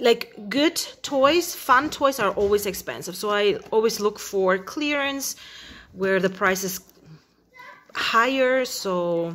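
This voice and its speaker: Against crowd noise in the background, a woman speaks with big swings in loudness and long, frequent pauses. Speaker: haul vlogger. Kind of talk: casual vlog chat. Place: kitchen. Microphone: phone near.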